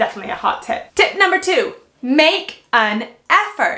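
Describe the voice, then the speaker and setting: This woman sounds energetic. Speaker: fashion YouTuber. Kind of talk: vlog tutorial.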